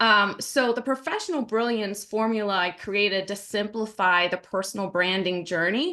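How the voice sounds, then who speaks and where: A woman's bright, sharp voice with hardly any pauses. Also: medium pitch for a woman, ordinary pitch variation, moderate pace. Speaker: personal branding consultant. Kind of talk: presentation.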